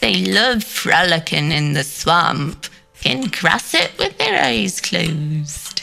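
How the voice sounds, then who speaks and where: A put-on character voice at a middle pitch and a very slow pace, with faint music in the background. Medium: game stream. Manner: folksy, explanatory.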